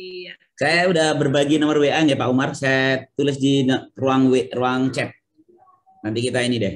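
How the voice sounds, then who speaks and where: A plain, everyday voice at a fairly slow pace with fairly even intonation. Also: man, fairly high pitch for a man. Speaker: poet and tax official; poet. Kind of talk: author Q&A. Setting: video call. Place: home room. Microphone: webcam.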